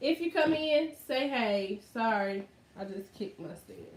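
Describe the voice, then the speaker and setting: Her voice is fairly high, with lively intonation and an animated tone. The woman talks at a fairly slow pace. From US South, Arkansas. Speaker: YouTuber. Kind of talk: casual livestream chat.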